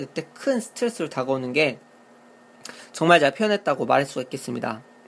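The man speaks at a very fast pace. His pitch swings very widely. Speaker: game review podcaster. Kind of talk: monologue review. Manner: speeds up when excited; hesitant, many fillers.

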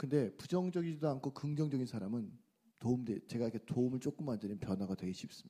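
A man's dark, mellow voice at a very fast pace. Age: 50s. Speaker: talk show host. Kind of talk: talk show interview. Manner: animated.

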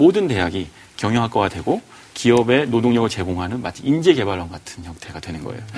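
Speaking at a very fast clip, the voice swings very widely in pitch over noticeable background noise. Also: man. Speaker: book club panelist. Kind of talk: casual discussion.

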